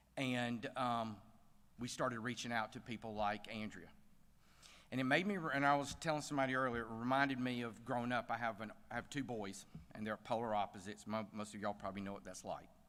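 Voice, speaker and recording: Speaking at a very fast pace, a man with a Southern US accent keeps a fairly even intonation. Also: medium pitch for a man. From US South. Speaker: bank CEO, gala speaker. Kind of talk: speech at gala. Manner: casual, hesitant with fillers.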